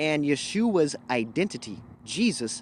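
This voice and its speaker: Very wide swings in pitch mark this man's fairly high voice. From Louisiana, Cajun. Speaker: livestream host. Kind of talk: casual livestream chat.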